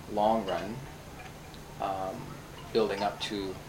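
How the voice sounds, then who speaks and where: With a western Canadian accent, a man speaks at a fairly low pitch with fairly even intonation, and room echo can be heard. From Canada, Vancouver. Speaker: teacher. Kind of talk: casual interview. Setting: at home, in-person recording.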